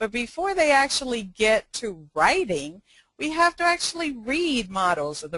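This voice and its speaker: This voice has a bright, sharp tone and a Spanish accent, with very wide pitch swings and a dry, close sound with no echo. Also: woman. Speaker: education consultant. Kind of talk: webinar presentation. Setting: online webinar. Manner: frequent fillers, hesitant.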